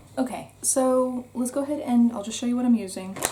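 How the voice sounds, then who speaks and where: With a North American accent, a woman speaks in a fairly high voice with ordinary pitch variation. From United States. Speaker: beauty vlogger. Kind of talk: casual chat. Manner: casual, chatty with fillers.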